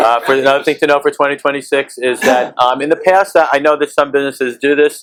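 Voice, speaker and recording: A man talks very fast at a fairly high pitch. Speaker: employment law speaker at business breakfast. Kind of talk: keynote talk. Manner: halting, many fillers.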